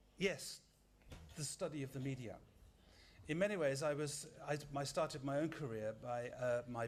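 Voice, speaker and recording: A man's somewhat breathy voice, medium in pitch and fairly even in intonation, carries audible room echo. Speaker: media scholar, lecturer. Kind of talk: lecture. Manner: fast.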